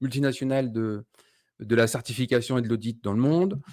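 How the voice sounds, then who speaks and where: Against a silent background in a very clean recording, a man of medium pitch speaks at a moderate pace with ordinary pitch variation in a plain, everyday voice. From France. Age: 40s. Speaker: keto diet community founder. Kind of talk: podcast interview.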